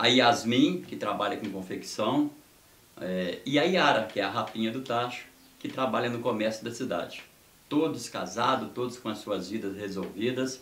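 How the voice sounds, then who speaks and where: The speaker goes at a moderate pace with ordinary pitch variation. Audible room echo and noticeable background noise fill the recording. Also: man, medium pitch for a man. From Brazil, Minas Gerais (Descoberto, rural). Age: 60s. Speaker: sports reporter and government aide. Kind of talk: interview, life story.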